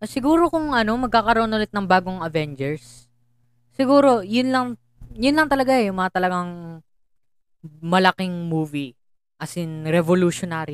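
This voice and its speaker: At a moderate pace, a woman of medium pitch makes very wide pitch swings, the sound dry and close with no echo. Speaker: podcast co-host. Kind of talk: casual chat.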